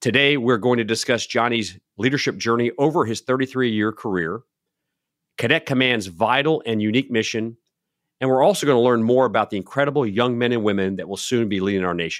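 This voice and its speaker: On a very clean recording with a silent background, a man speaks at a fairly quick pace in a medium pitch, with ordinary pitch variation and a plain, everyday voice. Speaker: podcast host, retired army colonel. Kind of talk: interview.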